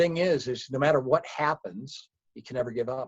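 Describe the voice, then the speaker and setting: The man's voice comes across somewhat breathy. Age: 60s. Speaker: company founder. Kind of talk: interview.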